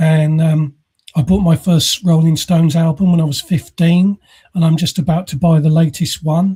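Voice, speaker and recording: A man's high-pitched voice with an English accent, monotone, flat intonation and a dark, mellow tone, in a dry, close sound with no echo. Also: moderate pace. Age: 60s. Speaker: podcast host. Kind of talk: casual chat. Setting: live podcast recording.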